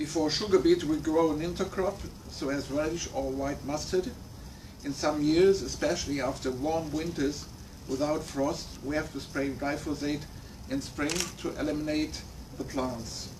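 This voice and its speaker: A man with a German accent speaks at a fairly high pitch and moderate pace. His intonation is fairly even, and audible room echo surrounds it. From Germany. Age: 60s. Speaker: farmer. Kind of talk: prepared talk read from notes. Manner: halting.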